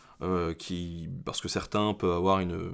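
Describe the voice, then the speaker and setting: A man speaks at a very deep, low pitch against a quiet background. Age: 20s. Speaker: history YouTuber. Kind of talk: casual Q&A monologue. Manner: halting, many filler hesitations. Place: home room.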